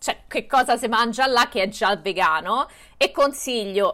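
Fairly high in pitch, a woman speaks in a normal speaking voice with ordinary pitch variation. Her pace is fairly slow. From Rome, Italy. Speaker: vegan content creator. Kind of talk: casual chat.

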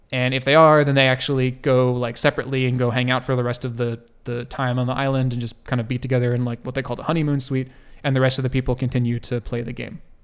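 Very fast, monotone, flat speech with an American accent. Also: man, medium pitch for a man. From US. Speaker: podcast co-host. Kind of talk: casual chat.

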